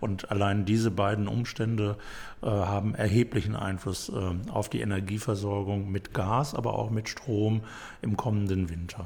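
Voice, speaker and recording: A man's somewhat breathy voice at a fairly low pitch, with fairly even intonation and a moderate pace. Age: 60s. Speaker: city mayor. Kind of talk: interview.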